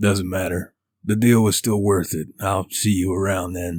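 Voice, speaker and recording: A man's raspy, put-on character voice, very deep and low in pitch, monotone and flat, at a moderate pace. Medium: read story. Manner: gruff, laconic.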